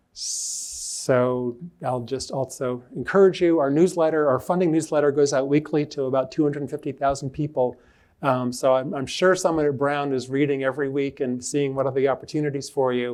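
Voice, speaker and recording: At a moderate pace and with fairly even intonation, this is an unremarkable speaking voice. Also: man, fairly high pitch for a man. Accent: American. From Rhode Island, US. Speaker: public health official. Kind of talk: lecture. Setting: lecture hall with online audience.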